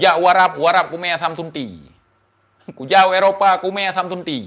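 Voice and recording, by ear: A man speaks at a fairly quick pace with ordinary pitch variation. His pitch is fairly high and his tone fairly bright.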